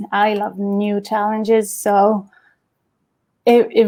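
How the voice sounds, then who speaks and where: A woman in a French accent, fairly high in pitch, with monotone, flat intonation, in a very clean recording with a silent background. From Champagne, France. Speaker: event professional. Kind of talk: interview answer.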